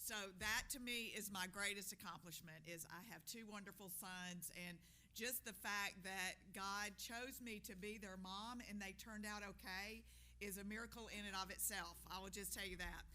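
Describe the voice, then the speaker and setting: A loud woman speaks at a medium pitch and moderate pace, her tone bright and sharp with vocal fry. Her intonation is fairly even, and audible room echo surrounds her. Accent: Alabama. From US South, Montgomery, Alabama. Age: 60s. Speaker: nonprofit leader. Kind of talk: public talk. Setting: stage with audience at podium.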